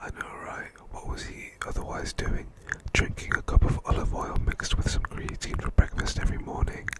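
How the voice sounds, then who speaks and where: Whispered words come through over noticeable background noise. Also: man. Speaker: ASMR creator. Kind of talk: casual commentary on reddit posts, ASMR style. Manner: soft-spoken, whispering.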